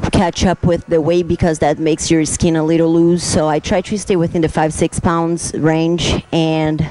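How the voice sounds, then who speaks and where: At a moderate pace, a woman with a Brazilian Portuguese accent speaks at a fairly low pitch over noticeable background noise. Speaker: fitness competitor. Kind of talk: casual interview talk. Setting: gym. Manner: halting.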